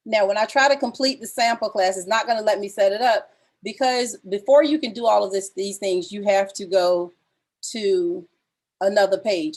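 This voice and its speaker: A woman of medium pitch shows big swings in loudness and ordinary pitch variation on a very clean recording with a silent background. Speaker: music teacher. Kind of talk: tutorial. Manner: fast.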